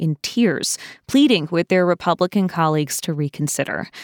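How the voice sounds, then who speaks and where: With an unremarkable speaking voice, a woman talks at a moderate pace with ordinary pitch variation, recorded dry and close with no echo against a silent, very clean background. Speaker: news podcast host. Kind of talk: news reading. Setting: studio. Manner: formal, steady, clear newsreader delivery; brisk, polished.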